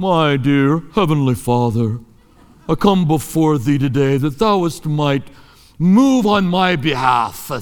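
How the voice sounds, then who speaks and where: Pitched fairly high, a man performs a put-on character voice. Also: fairly slow pace. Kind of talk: formal archaic prayer. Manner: solemn, pious.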